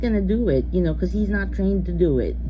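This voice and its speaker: A woman with a very deep, low pitch talks in a monotone, flat way, and the room echo is audible. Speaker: vlogger telling personal stories. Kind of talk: casual storytime monologue. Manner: hesitant, full of fillers; soft-spoken, keeping quiet.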